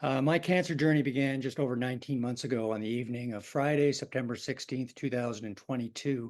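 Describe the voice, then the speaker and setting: A man talks at a very fast pace and a medium pitch. His intonation is fairly even, against a quiet background. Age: 60s. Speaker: pancreatic cancer patient, engineer. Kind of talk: webinar talk.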